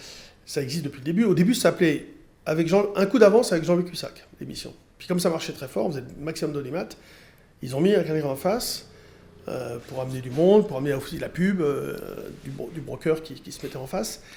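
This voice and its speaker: Fairly quick and lively in intonation, a man speaks at a fairly high pitch in a dark, mellow tone, his loudness swinging widely. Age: 60s. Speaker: trader and radio commentator. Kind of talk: casual interview chat. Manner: hesitant, with fillers.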